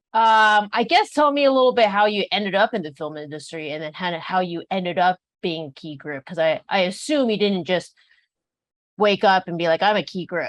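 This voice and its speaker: Over a quiet background, a woman with a plain, everyday voice talks at medium pitch and a fairly quick pace, with lively intonation and big swings in loudness, the sound dry and close with no echo. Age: 30s. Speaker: podcast host. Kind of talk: interview. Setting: podcast.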